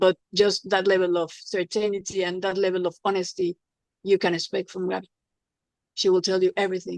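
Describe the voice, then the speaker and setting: With a Spanish accent, a woman speaks at a fairly quick pace and medium pitch, her intonation monotone and flat, in a dry, close sound with no echo. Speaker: former TV personality, patient giving testimonial. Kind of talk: testimony. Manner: halting, repetitive.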